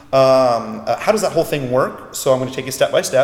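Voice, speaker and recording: A man talks at a fairly quick pace with lively intonation. There is noticeable noise in the background. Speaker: internet marketing expert. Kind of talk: interview. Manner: fast.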